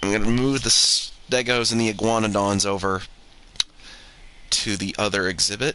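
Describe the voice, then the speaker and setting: Over noticeable background noise, a man with a fairly low voice talks at a moderate pace with fairly even intonation and long, frequent pauses. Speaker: video game streamer. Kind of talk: gameplay commentary. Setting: live stream. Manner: soft-spoken at times.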